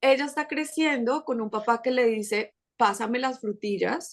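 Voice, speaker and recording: Over a quiet background, a woman with a Colombian accent talks fairly slowly at a fairly high pitch with ordinary pitch variation. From Colombia, Bogotá. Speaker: podcast creator and mother. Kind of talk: casual interview chat.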